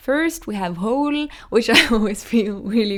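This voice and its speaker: Here a woman speaks with a Norwegian accent. Her intonation is lively. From Norway. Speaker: singer-songwriter. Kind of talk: casual explanation of own song lyrics. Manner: hesitant, many fillers.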